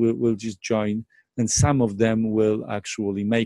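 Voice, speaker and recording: In a Polish accent, a man speaks at a moderate pace and medium pitch with a dark, mellow tone, the sound dry and close with no echo. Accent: Polish accent, non-native English. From Poland. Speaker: network marketing presenter. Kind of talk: sales pitch. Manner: hesitant, many fillers and repetitions.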